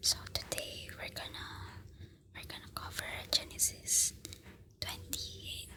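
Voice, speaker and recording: Whispering in a calm tone at a very slow pace, a woman can be heard through noticeable background noise. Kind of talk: ASMR bible reading before sleep. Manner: soft-spoken, slow, calm.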